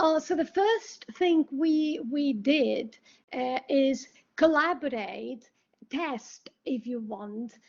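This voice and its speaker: Speaking at a very slow pace, a woman uses a high pitch. Her intonation is lively. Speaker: academic researcher. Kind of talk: academic presentation. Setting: online webinar. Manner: hesitant, many filler sounds.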